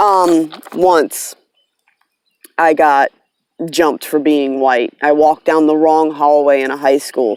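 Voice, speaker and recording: A woman with an American accent, very slow, with long, frequent pauses, a very deep, low pitch and fairly even intonation. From US East Coast, mix of South and Northeast (Virginia, New York). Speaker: tarot reader, vlogger. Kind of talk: casual vlog monologue. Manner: casual, with fillers and restarts.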